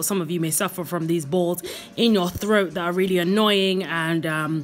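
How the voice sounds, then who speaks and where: A woman's normal speaking voice, fairly low in pitch, at a moderate pace over light background noise. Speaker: vlogger. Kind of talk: casual tutorial vlog chat. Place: home room. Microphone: phone near.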